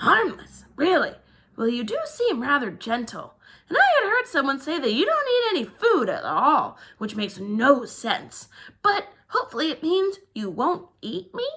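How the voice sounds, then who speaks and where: Using a put-on character voice, a woman speaks high with very wide pitch swings. Her pace is moderate. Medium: read story. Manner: dramatic, chatty.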